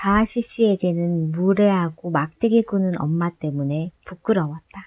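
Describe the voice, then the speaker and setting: In a dry, close recording with no echo, a woman with a dark, mellow tone speaks fairly slowly with ordinary pitch variation. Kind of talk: audiobook novel reading.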